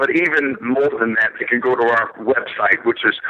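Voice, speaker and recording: Over noticeable background noise, a man with an American accent speaks at a moderate pace, medium in pitch, with fairly even intonation. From Philadelphia, US. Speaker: political candidate, former Marine. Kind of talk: interview.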